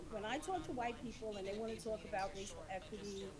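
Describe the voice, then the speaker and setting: A woman speaks at a fairly quick pace and a fairly high pitch, with ordinary pitch variation. Audible room echo and noticeable background noise are present. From New Rochelle, New York. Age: 60s. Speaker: audience member asking a question. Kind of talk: audience question. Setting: Zoom call. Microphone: too quiet.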